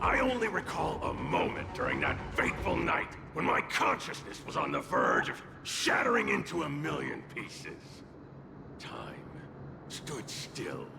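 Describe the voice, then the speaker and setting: Over clear background noise and with a clear echo, a man puts on a character voice at a moderate pace. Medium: game stream. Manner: sarcastic, theatrical.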